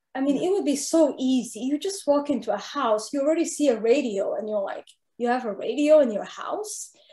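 A woman talks fairly quickly with lively intonation, her high voice dark and mellow in tone. Audible room echo comes through despite the quiet background. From Saudi Arabia. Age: 30s. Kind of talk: interview. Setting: video call. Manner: nervous. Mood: candid, reflective storytelling. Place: home room. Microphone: video call.

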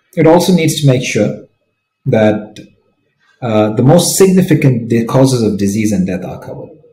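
There is audible echo from the room. The man's delivery is moderately paced. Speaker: conference presenter. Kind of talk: lecture. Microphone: webcam.

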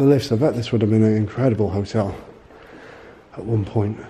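The man talks at a fairly quick pace. Noticeable background noise runs underneath. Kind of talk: casual vlog commentary. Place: hall. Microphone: phone near.

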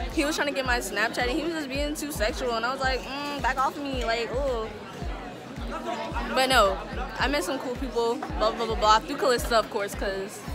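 Clear music plays in the background as a woman speaks at a fairly quick pace with ordinary pitch variation. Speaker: student vlogger. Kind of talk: casual vlog chat. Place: cafe. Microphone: phone near.

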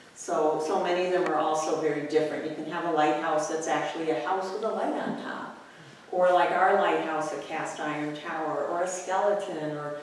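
A woman talks at a fairly quick pace in a very deep, low voice with monotone, flat intonation, heard with strong room echo and light background noise. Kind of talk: lecture. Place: classroom.

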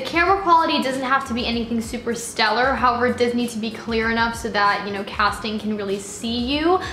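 A woman speaks at a fairly quick pace in a high pitch. There is audible room echo and light background noise. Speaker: actor, vlogger. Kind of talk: casual vlog chat. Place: home room.

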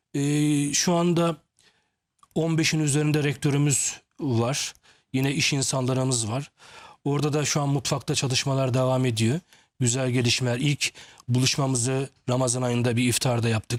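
A man speaks at a medium pitch and moderate pace. His intonation is fairly even, his loudness very even. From Turkey, Samsun. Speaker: management consultant. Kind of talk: TV interview. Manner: hesitant, many filler sounds.

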